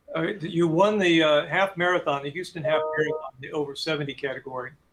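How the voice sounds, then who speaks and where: Music plays in the background as a man speaks very fast. His fairly high voice keeps a fairly even intonation. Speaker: club meeting host. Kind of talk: interview.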